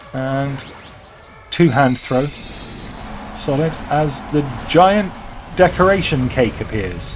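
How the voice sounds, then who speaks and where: Against music in the background and audible room echo, a man speaks at a very slow pace with lively intonation. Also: fairly high pitch for a man. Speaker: gaming YouTuber. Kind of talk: gameplay commentary. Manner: animated.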